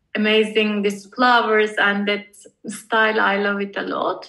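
A woman's fairly high voice with a Turkish accent at a fairly slow pace, music in the background. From Turkey, Istanbul. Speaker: visual artist. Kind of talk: casual interview.

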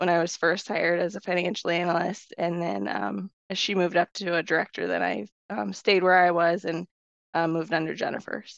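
Speaking at a fairly quick pace with an American accent, a woman uses lively intonation and vocal fry at a fairly low pitch, over a quiet background. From Iowa, US Midwest. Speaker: senior financial analyst. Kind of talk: casual interview chat.

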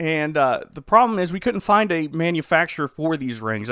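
A plain, everyday voice from a man, ordinary pitch variation, dry, close sound with no echo and a very clean recording with a silent background. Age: 30s. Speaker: podcast co-host reviewing movies. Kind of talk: casual chat; movie plot recap.

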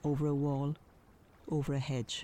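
This woman has a very deep, low pitch and a dark, mellow tone. She talks at a very slow pace with an Irish accent. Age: 50s. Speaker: painter and journalist, podcast storyteller. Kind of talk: scripted narration.

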